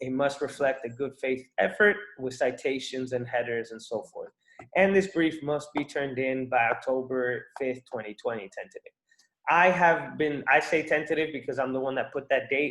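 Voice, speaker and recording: A man speaks at a moderate pace in a fairly high pitch, with ordinary pitch variation. His is a plain, everyday voice. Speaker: student organization leader presenting competition rules. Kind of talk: informational briefing. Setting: video call.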